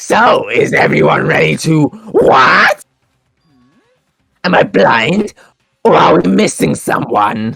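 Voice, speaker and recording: A man in a put-on character voice at a fairly slow pace, with long, frequent pauses. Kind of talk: comic overacting. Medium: fan dub. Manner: sing-song, playful.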